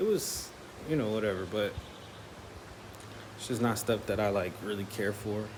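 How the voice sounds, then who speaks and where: Through audible room echo, a man speaks at a fairly low pitch with fairly even intonation and long, frequent pauses. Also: moderate pace. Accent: American. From Chicago, US. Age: 20s. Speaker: vlogger. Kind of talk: casual vlog talk. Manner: hesitant, filler-heavy.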